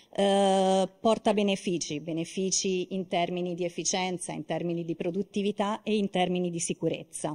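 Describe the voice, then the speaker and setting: Her voice at medium pitch has a dark, mellow tone, as this woman speaks at a moderate pace with ordinary pitch variation. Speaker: marketing manager, conference speaker; conference speaker. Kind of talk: conference presentation. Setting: auditorium stage with audience. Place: hall. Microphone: handheld.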